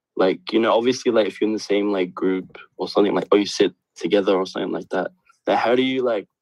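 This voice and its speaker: Very fast, fairly even speech from a man with a fairly low pitch and an Australian accent. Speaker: caller. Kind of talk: question on video call. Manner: halting with many fillers.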